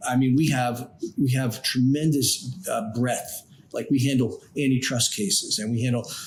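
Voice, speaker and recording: Somewhat breathy, a man with an American accent speaks at a medium pitch and a moderate pace. His intonation is fairly even. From New York, Long Island. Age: 60s. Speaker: trial lawyer, law firm founder. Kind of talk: interview.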